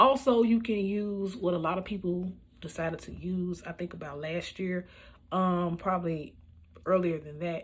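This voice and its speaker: A woman's somewhat breathy voice on a very clean recording with a silent background. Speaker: beauty vlogger. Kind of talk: makeup tutorial voiceover. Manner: casual, with many fillers.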